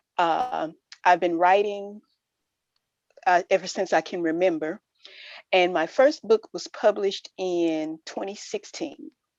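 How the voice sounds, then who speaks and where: With a Southern US accent, a woman of medium pitch speaks at a fairly slow pace with ordinary pitch variation and long, frequent pauses, in a dry, close sound with no echo and a quiet background. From US South, Mississippi Delta. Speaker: author. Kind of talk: web show interview.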